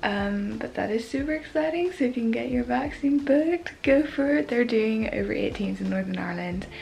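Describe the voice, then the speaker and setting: Over light background noise, a woman talks at a fairly quick pace with hardly any pauses. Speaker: vlogger. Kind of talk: casual vlog chat. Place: home room. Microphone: phone near.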